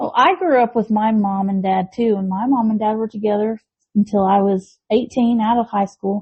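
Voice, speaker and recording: A woman with an American accent talks at a moderate pace with a fairly high pitch, fairly even intonation and a somewhat breathy voice. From Tennessee and northwest Georgia, partly Texas. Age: 40s. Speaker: podcast co-host. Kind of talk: casual chat.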